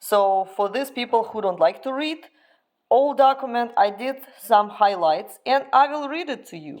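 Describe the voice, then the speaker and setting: A woman speaks in a Russian accent at a moderate pace, fairly high in pitch with lively intonation. The recording is very clean, with a silent background. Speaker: dog owner and breeder vlogger. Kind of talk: informational vlog.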